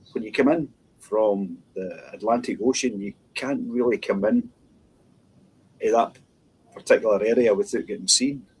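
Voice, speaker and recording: A man in a Scottish accent talks with long, frequent pauses. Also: moderate pace. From west of Scotland (Dumbarton). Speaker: minister. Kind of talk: interview. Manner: halting.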